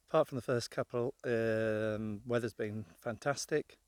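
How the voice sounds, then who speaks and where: In a very clean recording with a silent background, a man with an English accent speaks at a fairly slow pace. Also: dry, close sound with no echo. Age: 60s. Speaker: motorhome travel vlogger. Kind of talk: casual vlog talk to camera.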